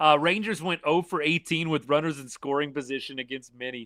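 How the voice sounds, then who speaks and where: This man has an unremarkable speaking voice and an American accent, speaking at a moderate pace with a fairly high pitch and ordinary pitch variation. The recording is very clean with a silent background, dry and close with no echo. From Texas, Arlington. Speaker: sports livestream host. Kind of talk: live stream chat. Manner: casual, conversational.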